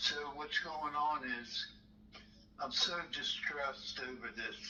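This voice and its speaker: An American accent against noticeable background noise. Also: man. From Maryland. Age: 60s. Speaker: caller. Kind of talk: phone call. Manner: halting.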